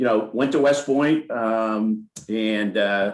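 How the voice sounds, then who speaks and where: Very slowly, a man with an American accent speaks at a fairly low pitch with ordinary pitch variation. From upstate New York. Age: 60s. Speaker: company CEO. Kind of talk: interview.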